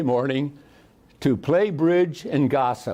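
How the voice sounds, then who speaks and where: The speaker is a man with a fairly high pitch. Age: 90s. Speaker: war veteran. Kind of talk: public talk; telling a joke. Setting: library talk with audience. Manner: halting.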